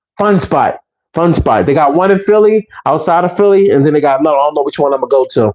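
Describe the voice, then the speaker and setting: Very fast and fairly high-pitched, a man talks with ordinary pitch variation. His loudness stays very even. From Philadelphia, US. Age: 40s. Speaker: YouTuber. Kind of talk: casual vlog monologue. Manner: animated.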